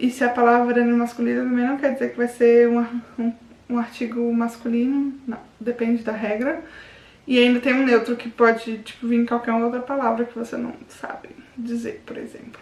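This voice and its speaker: A high-pitched woman's voice with monotone, flat intonation. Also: moderate pace. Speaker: language learning youtuber. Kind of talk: casual vlog tutorial. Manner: informal, with false starts.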